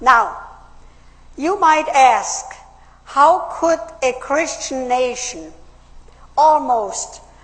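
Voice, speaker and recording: In a German accent, a woman talks at a very slow pace with a high pitch and lively intonation over noticeable background noise. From Austria. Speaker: political speaker, WWII survivor. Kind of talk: public speech.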